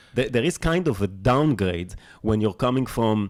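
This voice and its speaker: The speaker is a man with a French accent. His pitch varies in an ordinary way. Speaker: podcast host. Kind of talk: casual interview conversation. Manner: halting, many stammers and restarts.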